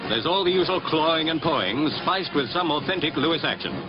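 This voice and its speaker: A man speaks at a very fast pace and a fairly high pitch, with ordinary pitch variation. His loudness stays very even, with music in the background. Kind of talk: newsreel narration. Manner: witty, punning.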